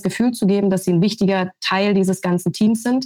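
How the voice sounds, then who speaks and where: A woman speaks at a fairly quick pace in a medium pitch, her somewhat breathy voice held to a monotone, flat intonation. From Brandenburg, eastern Germany. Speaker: sports TV presenter. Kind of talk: podcast discussion.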